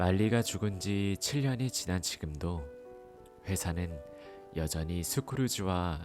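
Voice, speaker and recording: Quiet and calm in tone, a man speaks with a very deep, low pitch and lively intonation at a very slow pace, with music in the background. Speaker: audiobook narrator. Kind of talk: audiobook reading for sleep. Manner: calm, quiet.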